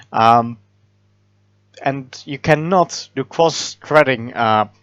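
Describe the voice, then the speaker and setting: In a dry, close sound with no echo and a quiet background, a man with a non-native accent speaks with lively intonation. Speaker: software developer. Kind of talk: programming tutorial narration. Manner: hesitant, many filler words.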